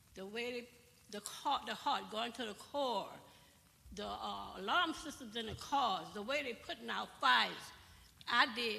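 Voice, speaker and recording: A woman with a fairly high pitch speaks at a fairly slow pace, her pitch varying an ordinary amount. Noticeable background noise and audible room echo surround her. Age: 70s. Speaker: audience member asking a question. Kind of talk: town hall audience question. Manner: animated.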